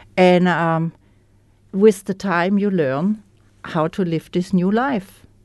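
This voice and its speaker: A woman speaks at a very slow pace with a German accent, leaving long, frequent pauses. Her pitch is medium and varies in an ordinary way. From Germany. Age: 60s. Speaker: recovering alcoholic. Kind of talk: testimony. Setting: studio. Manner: halting.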